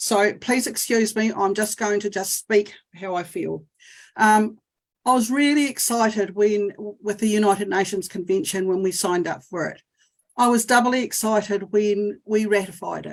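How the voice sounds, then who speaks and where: At a moderate pace, a woman with a New Zealand accent speaks at a medium pitch with fairly even intonation. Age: 60s. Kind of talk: testimony. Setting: video call. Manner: halting.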